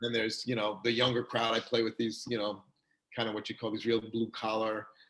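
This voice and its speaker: In a New York accent, a man talks at a fairly quick pace with a medium pitch and monotone, flat intonation. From New York, Long Island. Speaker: chiropractor. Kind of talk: casual interview chat. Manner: fast; chatty, many fillers.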